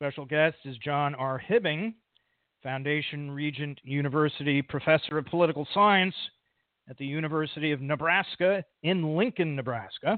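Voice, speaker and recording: In an ordinary speaking voice, a man with an American accent speaks at a moderate pace and fairly high pitch, with ordinary pitch variation and big swings in loudness. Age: 50s. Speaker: podcast host. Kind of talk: podcast interview; scripted intro.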